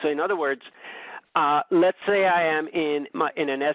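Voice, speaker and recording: Keeping fairly even intonation, a man speaks at a moderate pace in a normal speaking voice. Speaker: options trading presenter. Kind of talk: webinar presentation.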